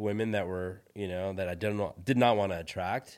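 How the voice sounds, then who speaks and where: With a Californian accent, a man talks at a fairly low pitch and fairly even intonation on a very clean recording with a silent background. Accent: Californian American. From US West Coast (San Francisco Bay Area), born in India. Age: 40s. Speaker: tech entrepreneur. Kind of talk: interview.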